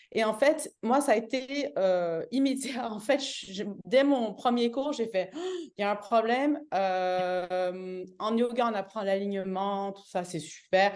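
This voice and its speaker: A woman's fairly high voice, very slow in pace, with lively intonation. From Canada. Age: 40s. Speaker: yoga teacher. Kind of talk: testimony. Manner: hesitant, many fillers and restarts.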